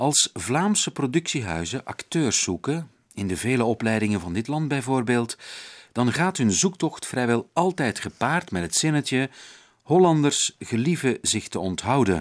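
A man talks at a fairly slow pace in a medium pitch. His pitch swings very widely. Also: very clean recording, silent background. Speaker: radio host. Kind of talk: interview; scripted narration.

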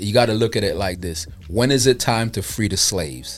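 A man speaks with a Brooklyn accent. Music can be heard behind him. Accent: New York, Brooklyn. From Brooklyn, New York. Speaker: music distribution entrepreneur. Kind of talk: casual chat. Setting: studio.

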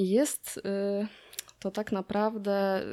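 A woman's medium-pitched voice, dark and mellow in tone. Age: 30s. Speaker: podcast co-host. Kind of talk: casual chat. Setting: remote recording from her workplace.

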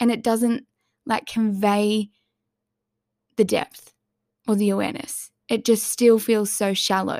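A woman's fairly high, monotone voice at a fairly slow pace with long, frequent pauses, in a very clean recording with a silent background. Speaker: solo podcast host. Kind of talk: casual solo monologue. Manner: halting, with many filler words; loose, rambling flow.

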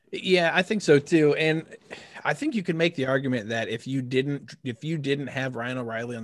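Set against a quiet background, a plain, everyday voice moves at a moderate pace with lively intonation. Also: man. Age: 30s. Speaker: podcast co-host. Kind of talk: casual chat.

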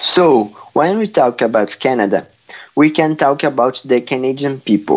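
A man speaks with a Portuguese accent and a fairly high pitch. His intonation is lively and his pace moderate. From Brazil. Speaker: correspondent (role-play). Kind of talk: scripted school podcast. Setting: at home.

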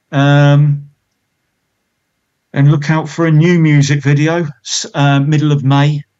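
A man speaks in a monotone, flat intonation at a fairly high pitch and a very slow pace, with long, frequent pauses. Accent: British. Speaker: musician in a band. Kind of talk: casual interview chat.

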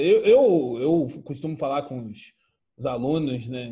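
At a fairly slow pace, a man with a fairly high pitch speaks in a somewhat breathy voice with a dark, mellow tone. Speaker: podcast host. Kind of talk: casual chat.

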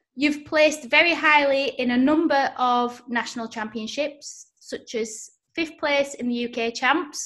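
With a Yorkshire accent, the speaker uses a bright, sharp tone and hardly any pauses. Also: woman. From Yorkshire, northern England. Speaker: podcast host. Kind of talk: casual interview. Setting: video call.

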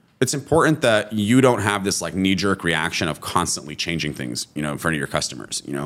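With a Californian accent, a man speaks at a fairly quick pace with hardly any pauses. His pitch is very deep and low, swinging very widely. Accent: Californian American. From California, US. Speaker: restaurant founder. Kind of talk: casual interview.

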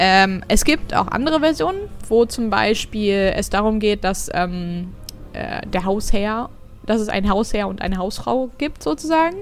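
In a normal speaking voice, a woman talks fairly slowly at a medium pitch with lively intonation. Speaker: podcast co-host. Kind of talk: casual chat. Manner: chatty, giggly, informal.

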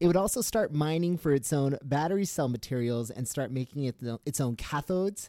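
A man's voice, dark and mellow in tone, moves in very wide pitch swings. The recording is very clean, with a silent background and a dry, close sound with no echo. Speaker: newsletter writer and podcast host. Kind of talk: news reading; casual chat. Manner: loud.

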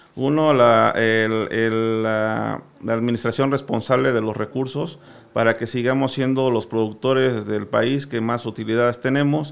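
A man at a medium pitch, with fairly even intonation and a fairly slow pace. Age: 40s. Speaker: sugar cane grower. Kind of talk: radio interview.

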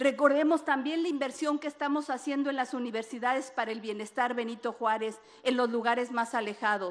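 A woman talks at a fairly quick pace with hardly any pauses, her high pitch showing ordinary variation. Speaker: government minister. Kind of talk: formal public speech.

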